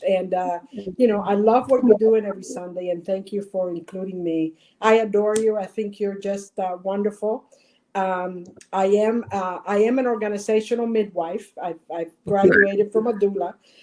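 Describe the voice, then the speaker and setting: A woman's dark, mellow tone at a medium pitch, fairly even in intonation and moderate in pace. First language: Spanish. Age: 60s. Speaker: nonprofit consultant. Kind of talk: live webinar interview. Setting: video call. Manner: halting, many fillers.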